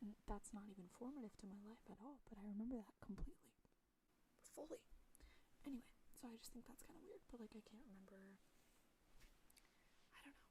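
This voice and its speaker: The speaker is soft-spoken and moves at a fairly quick pace. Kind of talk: ASMR soft-spoken rambling chat. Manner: casual, rambling.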